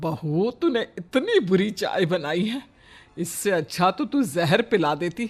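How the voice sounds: Here a man uses a put-on character voice, high-pitched with big pitch swings. He talks at a slow pace.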